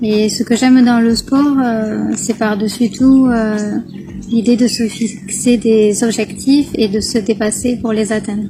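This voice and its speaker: A woman talks at a very slow pace with monotone, flat intonation. Noticeable background noise can be heard. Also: fairly high pitch for a woman. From southwest France, Gers. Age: 30s. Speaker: care assistant and charity raid participant. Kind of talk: interview. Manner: hesitant, many fillers.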